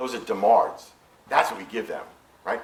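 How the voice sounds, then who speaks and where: Over noticeable background noise and audible room echo, a man talks very fast in an animated tone. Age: 60s. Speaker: physician. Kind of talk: lecture.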